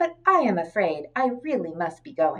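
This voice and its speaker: A put-on character voice, female-sounding, with very wide pitch swings at a moderate pace. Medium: read story. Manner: polite, friendly.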